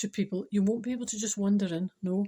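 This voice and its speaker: On a very clean recording with a silent background, a woman with a Scottish accent speaks at a fairly quick pace, her medium-pitched voice somewhat breathy with a dark, mellow tone and fairly even intonation. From Scotland. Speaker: spiritual speaker. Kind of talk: casual talk to camera.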